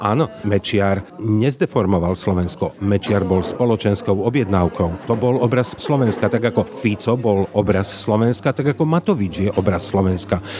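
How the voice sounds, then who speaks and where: Over noticeable background noise, a man with a fairly low voice speaks at a moderate pace with ordinary pitch variation, very even loudness and hardly any pauses. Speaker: journalist. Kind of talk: interview.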